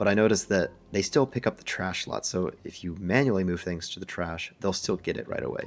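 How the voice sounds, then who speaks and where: This soft-spoken voice moves at a moderate pace on a very clean recording with a silent background. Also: man. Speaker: gaming video creator. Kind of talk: gameplay commentary.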